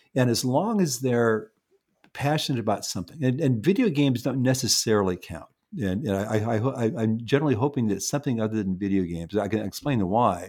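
Here a man speaks at a very fast pace with lively intonation and medium pitch. The recording is very clean, with a silent background. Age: 70s. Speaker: neuropsychologist and parenting author. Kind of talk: interview conversation. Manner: halting, many repeated words.

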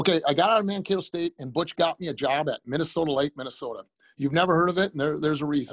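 With an American accent, the speaker talks at a very fast pace in an energetic tone. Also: man, fairly high pitch for a man, ordinary pitch variation. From US Midwest, Iowa. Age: 60s. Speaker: high school basketball coach. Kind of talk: casual interview. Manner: fast talker.

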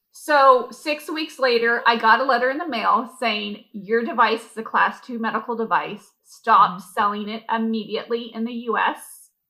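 Speaking at a moderate pace with hardly any pauses, a woman with an American accent has a fairly high pitch and ordinary pitch variation. Her tone is bright and sharp, with big swings in loudness. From US West Coast, San Diego. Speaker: skincare entrepreneur and esthetician. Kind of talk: casual interview.

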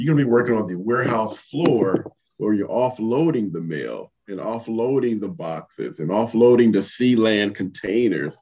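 A man with an American accent has a normal speaking voice at a medium pitch. He talks at a moderate pace with lively intonation. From US West Coast, Compton, California. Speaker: leadership coach and army veteran. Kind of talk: interview.

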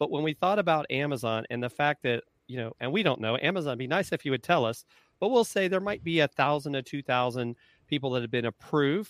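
An unremarkable speaking voice from a man, fairly high in pitch with ordinary variation, at a fairly quick pace. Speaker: marketing consultant and retired Marine officer. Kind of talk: casual interview. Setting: live video call.

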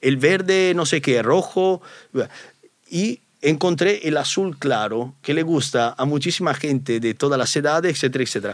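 With an Italian accent, a man speaks at a moderate pace in a fairly high pitch, using lively intonation. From Italy. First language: Italian (speaking Spanish). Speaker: YouTuber. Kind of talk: interview.

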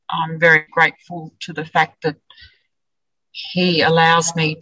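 A woman with an Australian accent speaks in a very deep, low pitch and a bright, sharp tone, her intonation monotone and flat, the sound dry and close with no echo. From central west New South Wales, Australia. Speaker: sheep farmer. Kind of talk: interview.

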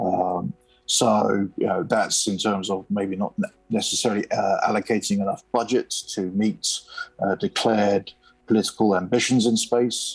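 This man talks at a moderate pace with a British accent. His pitch is fairly low and his intonation fairly even. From United Kingdom. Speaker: space policy analyst. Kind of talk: interview.

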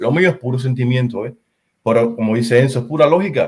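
This man's voice is somewhat breathy. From Cuba. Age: 30s. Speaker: football fan. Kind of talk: casual chat.

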